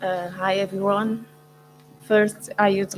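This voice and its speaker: With music in the background, a woman speaks with a non-native accent. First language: Portuguese. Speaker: researcher. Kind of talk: academic presentation. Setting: stage at book launch. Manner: halting with fillers.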